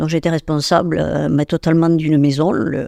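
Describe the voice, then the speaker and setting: A woman's dark, mellow tone at a moderate pace, dry and close with no echo, on a very clean recording with a silent background. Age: 70s. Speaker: holistic therapist and medium. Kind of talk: interview. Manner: hesitant, many fillers.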